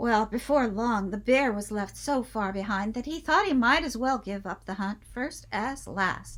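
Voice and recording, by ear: A passage read out naturally.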